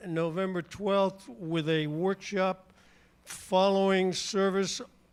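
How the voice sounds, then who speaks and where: A man's very slow speech, high in pitch, with fairly even intonation. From New England. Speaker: church announcer. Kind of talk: church announcements. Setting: church.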